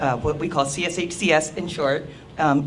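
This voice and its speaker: The intonation stays fairly even. Audible room echo and noticeable background noise are present. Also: woman. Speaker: parent consultant at a health services program. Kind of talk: conference presentation. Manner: loud.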